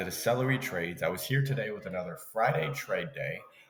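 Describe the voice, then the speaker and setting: With lively intonation and a fairly quick pace, a man speaks as noticeable background noise continues behind him. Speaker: day trader. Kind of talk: live trading commentary. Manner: casual, filler-heavy.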